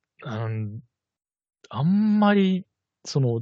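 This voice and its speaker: A man speaks at a very slow pace, his pitch swinging very widely. His voice is somewhat breathy. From Kitakyushu, Fukuoka, Japan. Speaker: podcast co-host. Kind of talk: casual chat.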